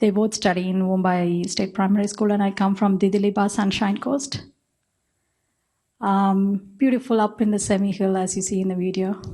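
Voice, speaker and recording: Against a quiet background, a woman with a dark, mellow tone and a somewhat breathy voice speaks at a moderate pace and medium pitch, her intonation monotone and flat. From India. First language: not English, Indian language. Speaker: spiritual teacher, guru. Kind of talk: panel introduction.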